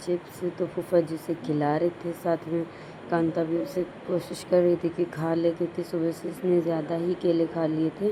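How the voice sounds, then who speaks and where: At a fairly slow pace, a woman speaks in a fairly low voice amid noticeable background noise. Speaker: family vlogger. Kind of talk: vlog narration.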